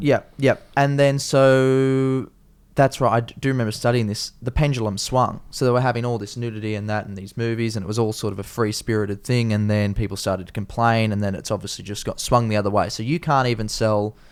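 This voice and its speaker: A man with an Australian accent, medium pitch, fairly even intonation and hardly any pauses. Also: fairly quick pace. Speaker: comedian, podcast host. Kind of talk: casual podcast conversation.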